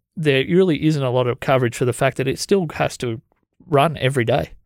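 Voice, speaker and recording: A man with an Australian accent talks at a fairly quick pace and medium pitch. His pitch varies in an ordinary way, and the sound is dry and close with no echo. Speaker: podcast host. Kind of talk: casual chat. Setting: studio.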